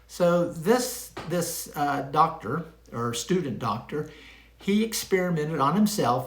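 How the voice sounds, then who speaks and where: With audible room echo around him, a man speaks with lively intonation and a fairly high pitch. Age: 70s. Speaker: retired pharmacist, health vlogger. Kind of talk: casual monologue to camera. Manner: conversational, with frequent fillers.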